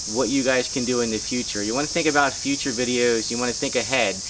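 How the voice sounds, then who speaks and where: A very fast man's voice at medium pitch, fairly even in intonation, over noticeable background noise. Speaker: YouTube creator giving channel tips. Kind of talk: casual vlog tutorial. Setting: outdoors. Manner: casual, filler-heavy.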